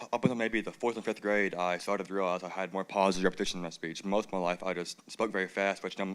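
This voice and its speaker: In an American accent, a man talks at a very fast pace in a fairly low voice. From Georgia, US. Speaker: speaker who stutters and clutters. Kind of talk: personal speech. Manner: fast with stuttering repetitions.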